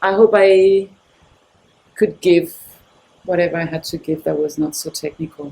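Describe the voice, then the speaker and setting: A soft-spoken woman talks at a fairly slow pace with fairly even intonation. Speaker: professional dancer and Pilates instructor. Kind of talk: interview answer.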